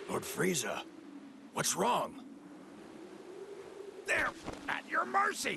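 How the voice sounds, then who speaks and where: Using a put-on character voice, a man talks at a very slow pace with long, frequent pauses over clear background noise. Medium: video game. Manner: loud, dramatic.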